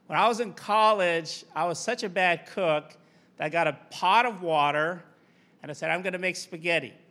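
High-pitched man's voice, bright and sharp in tone, with fairly even intonation at a moderate pace, on a very clean recording with a silent background. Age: 50s. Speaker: guest preacher. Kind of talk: sermon. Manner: conversational, with hesitations.

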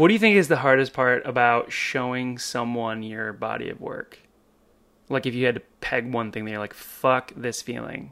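With an American accent, this man has a normal speaking voice at medium pitch, keeping a moderate pace and ordinary pitch variation while his loudness swings widely. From California. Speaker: podcast host and bartender. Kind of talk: casual interview chat.

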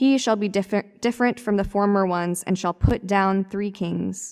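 In a very clean recording with a silent background, a woman with a normal speaking voice talks at a moderate pace, medium in pitch and with fairly even intonation. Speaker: scripture reader. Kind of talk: reading aloud.

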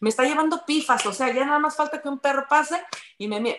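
A woman talks at a very fast pace in a high pitch with very wide pitch swings. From Mexico, from Tula. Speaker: radio presenter and yoga teacher. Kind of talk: casual chat.

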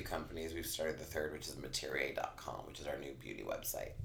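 Fairly quick speech from a man amid audible room echo. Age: 40s. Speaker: beauty brand manager. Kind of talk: casual interview.

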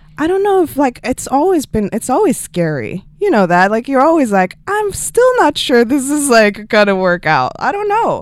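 Speaking with a Swedish accent at a moderate pace, the voice makes very wide pitch swings and hardly any pauses. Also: woman, high pitch for a woman. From Sweden. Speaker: music video director. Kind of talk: interview.

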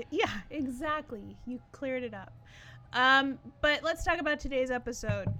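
A woman projects her voice, raised and high in pitch. Her tone is bright and sharp, with ordinary pitch variation. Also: moderate pace, big swings in loudness. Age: 30s. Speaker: music podcast co-host. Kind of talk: casual chat.

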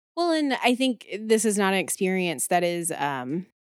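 Speaking at a moderate pace in a plain, everyday voice of medium pitch, a woman comes through on a very clean recording with a silent background. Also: dry, close sound with no echo. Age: 30s. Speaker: therapist and podcast co-host. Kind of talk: casual chat.

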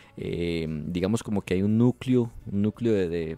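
A man with a Costa Rican accent speaks at a fairly slow pace in a very deep, low voice with fairly even intonation. The sound is dry and close with no echo, and music plays in the background. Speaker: wedding photographer and podcast host. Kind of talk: casual interview chat. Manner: halting, many repetitions and fillers.

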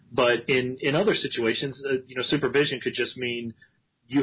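A man with a plain, everyday voice speaks at a fairly quick pace with fairly even intonation. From US Mid-Atlantic (Maryland). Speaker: physician assistant and educator. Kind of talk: interview.

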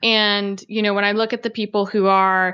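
A woman talks at a moderate pace with fairly even intonation. She has a medium pitch and a plain, everyday voice. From US, Italian-American heritage. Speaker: author and podcaster on Italian folk spirituality. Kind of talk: casual interview chat.

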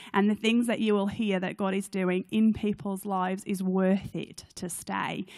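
A woman with a British accent and medium pitch, monotone and flat in intonation, at a moderate pace with hardly any pauses. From UK. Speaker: charity CEO. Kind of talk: church talk. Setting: stage with audience.

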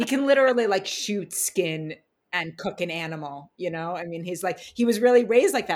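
Speaking at a fairly quick pace with an American accent, a woman uses a medium pitch and lively intonation, her loudness swinging widely. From New York City (Manhattan). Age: 40s. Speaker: spiritual astrologer. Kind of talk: casual interview chat.

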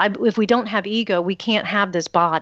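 A woman speaks in a normal speaking voice with an American accent, medium pitch and ordinary pitch variation. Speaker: radio host and psychic advisor. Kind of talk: casual chat.

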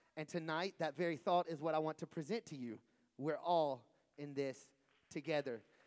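A man talks at a moderate pace with a fairly high pitch and ordinary pitch variation in a plain, everyday voice. The recording is very clean, with a silent background. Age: young. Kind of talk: sermon.

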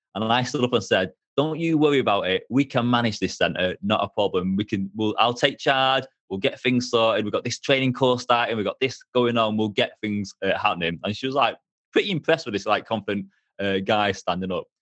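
A man talks at a fairly quick pace with ordinary pitch variation and a medium pitch. It is a normal speaking voice. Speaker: hypnotherapist and career coach. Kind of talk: casual interview chat.

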